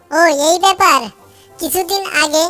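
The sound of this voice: A squeaky, cartoonish character voice from a woman at an extremely high pitch, moderate in pace with fairly even intonation, over faint background music.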